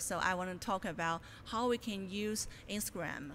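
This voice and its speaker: In a Chinese accent, a woman speaks with fairly even intonation amid audible room echo. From China. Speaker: graduate student presenter. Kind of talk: conference presentation. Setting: conference room with audience. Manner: hesitant, many fillers.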